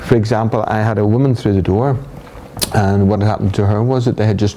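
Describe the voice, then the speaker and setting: A man with a Northern Irish accent, fairly low pitch, fairly even intonation, very even loudness and a very fast pace, over noticeable background noise. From Northern Ireland. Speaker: hypnotherapist. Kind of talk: interview.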